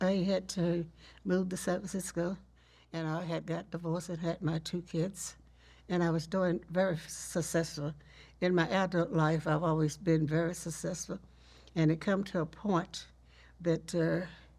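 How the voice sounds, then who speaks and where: With a Texas accent, the speaker keeps a flat, monotone intonation at a moderate pace in a very clean recording with a silent background. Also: woman, fairly low pitch for a woman. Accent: Southern US (Texas). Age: 80s+. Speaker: storyteller, teacher, family historian. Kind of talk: interview answer.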